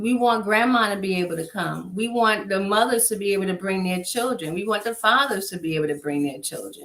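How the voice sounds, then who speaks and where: An ordinary speaking voice at a fairly quick pace with hardly any pauses and ordinary pitch variation. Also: woman, medium pitch for a woman. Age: 50s. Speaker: nonprofit executive director. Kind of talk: interview.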